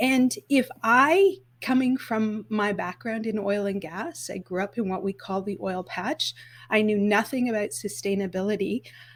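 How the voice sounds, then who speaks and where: Somewhat breathy and fairly high-pitched, a woman in a Canadian accent speaks at a moderate pace with ordinary pitch variation. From Canada, northern Alberta. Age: 50s. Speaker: sustainable events expert and event business founder. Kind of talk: podcast interview.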